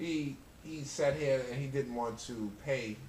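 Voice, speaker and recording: Audible room echo surrounds a man with a New York accent who keeps a fairly even intonation. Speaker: interview guest. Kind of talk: casual chat.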